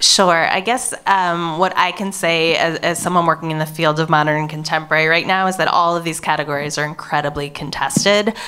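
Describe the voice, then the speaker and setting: Barely pausing, a woman talks at a fairly quick pace in a bright, sharp, fairly low voice with fairly even intonation. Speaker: museum curator and moderator; moderator. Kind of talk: panel discussion. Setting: stage with audience. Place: hall. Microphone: handheld.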